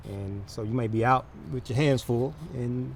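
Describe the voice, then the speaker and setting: With an American accent, a man is talking. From Atlanta, Georgia. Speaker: car detailer, former US Marine. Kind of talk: interview answer. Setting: outdoors. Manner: quiet, unassuming.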